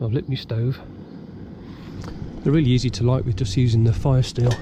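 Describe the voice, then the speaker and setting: Through noticeable background noise, a man speaks at a fairly quick pace and medium pitch with fairly even intonation. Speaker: outdoors vlogger. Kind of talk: casual vlog narration. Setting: outdoors in woods.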